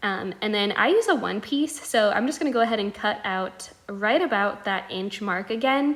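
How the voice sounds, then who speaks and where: A woman talks with lively intonation and hardly any pauses, with noticeable background noise behind her. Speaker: ostomy vlogger. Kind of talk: tutorial. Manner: fast; casual, filler-heavy.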